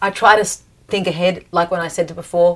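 Speaking in an Australian accent, a woman uses a fairly low pitch and monotone, flat intonation. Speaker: professional singer. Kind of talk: casual chat.

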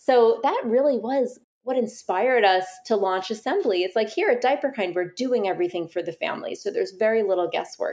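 Speaking with an American accent, a woman uses an ordinary speaking voice at a fairly high pitch with lively intonation. Her pace is fairly quick, with hardly any pauses. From New York City. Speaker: business founder. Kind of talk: interview.

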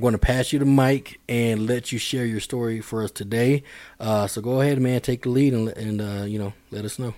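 On a very clean recording with a silent background, a man talks fairly quickly in a medium-pitched, dark, mellow voice with fairly even intonation. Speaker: podcast host. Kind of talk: interview. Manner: halting.

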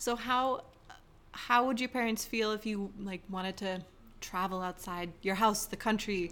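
A woman with an American accent speaks in a plain, everyday voice at a medium pitch, with fairly even intonation. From California. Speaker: podcast host. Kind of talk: casual interview.

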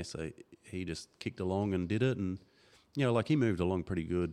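Very deep, low-pitched man with an Australian accent at a fairly quick pace, very clean recording, silent background. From Darwin, Northern Territory, Australia. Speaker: motocross club organiser and former racer. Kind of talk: casual chat. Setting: studio.

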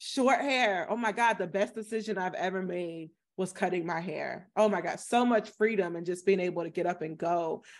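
A woman with an American accent talks at a moderate pace in a medium pitch, using ordinary pitch variation. The background is quiet. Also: hardly any pauses. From US South, small-town Florida. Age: 30s. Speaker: journalist and comedian. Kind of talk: casual interview conversation.

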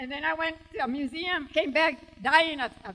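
Bright, sharp tone from a woman with a raised, projected voice. Her intonation is lively. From Tucson, Arizona. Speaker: author. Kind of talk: live book event talk. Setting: stage with audience.

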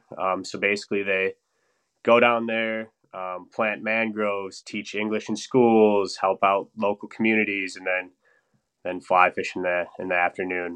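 This man talks in a flat monotone. He has an Upper Midwest accent. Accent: Upper Midwest American. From Wisconsin (Stevens Point, north central). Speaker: engineer and fly-fishing enthusiast. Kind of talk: casual interview chat.

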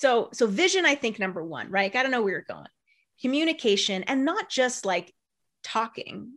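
Against a quiet background, a woman speaks with an animated tone and a high pitch. Her voice makes very wide pitch swings. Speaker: marketing consultant and author. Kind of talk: interview. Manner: fast.

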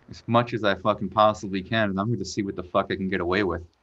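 A man speaks at a fairly quick pace with an American accent and a plain, everyday voice. His pitch is fairly low and his intonation fairly even. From Florida. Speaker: professional skateboarder. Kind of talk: casual chat.

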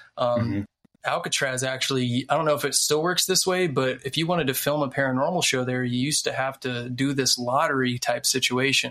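This man has a normal speaking voice at medium pitch, talking at a fairly quick pace with fairly even intonation and very even loudness. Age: 30s. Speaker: TV writer and researcher. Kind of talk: casual chat.

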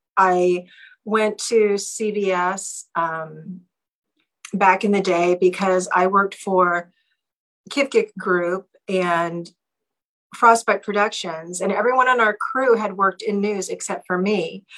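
A woman speaks in an Alaskan accent at medium pitch. Her pace is very slow and her intonation fairly even. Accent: Alaskan American English. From Alaska (Seward, Anchorage). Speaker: former TV news anchor. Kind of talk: casual interview.

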